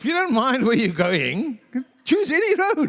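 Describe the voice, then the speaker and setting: A loud man speaks at a moderate pace, the sound dry and close with no echo. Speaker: pastor. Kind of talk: sermon.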